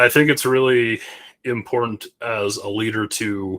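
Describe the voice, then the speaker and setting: A man's voice at medium pitch, with fairly even intonation, dry and close with no echo, in a very clean recording over a silent background. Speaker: space company CEO. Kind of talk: interview. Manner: authoritative; halting, many restarts.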